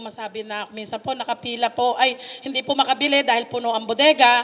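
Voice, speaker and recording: Over noticeable background noise, a woman speaks at a moderate pace in a high pitch with fairly even intonation. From Bulacan, Philippines. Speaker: farmer cooperative member. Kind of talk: public dialogue with official. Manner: polite, formal.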